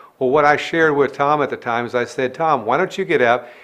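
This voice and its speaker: A man speaks at a very fast pace, his pitch fairly high. The background is quiet. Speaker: business coach. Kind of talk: tutorial.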